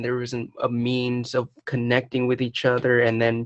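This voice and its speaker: At a fairly slow pace, a man speaks at medium pitch. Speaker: podcast host. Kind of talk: casual chat. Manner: animated, many filler noises.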